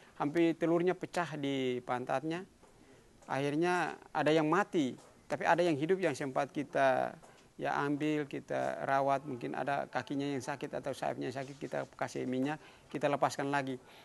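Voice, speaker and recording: With ordinary pitch variation, a man whose pitch is fairly high speaks at a moderate pace in a quiet background. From Haruku island, Central Maluku, Indonesia. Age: 60s. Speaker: traditional village guardian and environmental conservationist. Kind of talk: interview answer. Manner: casual, hesitant.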